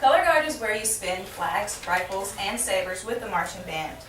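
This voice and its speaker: The voice moves at a moderate pace with lively intonation. Noticeable background noise and audible room echo fill the recording. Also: woman. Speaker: college student giving class speech. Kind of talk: informative speech. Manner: halting.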